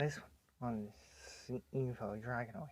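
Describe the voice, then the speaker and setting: Somewhat breathy, a man speaks very slowly at a medium pitch. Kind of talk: casual talk to camera about toys. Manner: quiet, soft.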